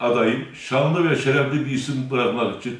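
Amid audible room echo, a man with a fairly high pitch talks at a moderate pace with ordinary pitch variation. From Turkey, Kayseri (Bünyan); Turkey. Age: 60s. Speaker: mayoral candidate; candidate. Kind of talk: interview testimony. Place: office.

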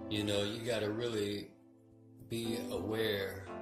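A very slow pace with clear music in the background. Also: man. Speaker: vlogger. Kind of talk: casual talk to camera. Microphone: phone near.

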